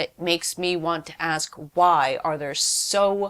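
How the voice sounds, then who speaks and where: A woman talks in an unremarkable speaking voice. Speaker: activist and workshop organizer. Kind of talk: interview.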